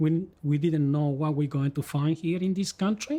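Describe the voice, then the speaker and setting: The voice has a Spanish accent and a dark, mellow tone. It moves at a fairly slow pace with ordinary pitch variation. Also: man. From Chile, rural village. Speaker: migrant interviewee. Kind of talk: life-story interview. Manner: halting, many repetitions and self-corrections.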